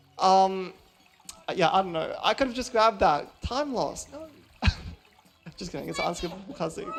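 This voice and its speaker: The speaker moves at a moderate pace, leaving long, frequent pauses. Noticeable background noise runs underneath. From Australia. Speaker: speedrunner. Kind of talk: live speedrun commentary. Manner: casual, hesitant with many ums.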